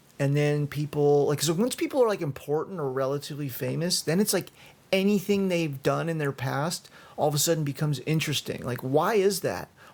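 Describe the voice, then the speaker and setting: A man speaks at a fairly quick clip in a fairly high pitch. His pitch varies an ordinary amount. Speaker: podcast host. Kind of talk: solo podcast monologue. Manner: halting.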